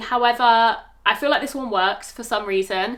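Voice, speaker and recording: This woman has a British accent. She talks at a fairly quick pace. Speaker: fashion vlogger. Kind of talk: product review try-on. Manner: fast; casual, hesitant with fillers.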